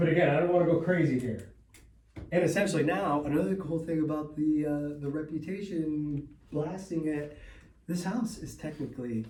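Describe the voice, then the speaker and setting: Somewhat breathy and dark, mellow in tone, a man's voice comes through with audible room echo. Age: 30s. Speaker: real estate investor and seminar host. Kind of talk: seminar talk. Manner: casual, halting with repetitions.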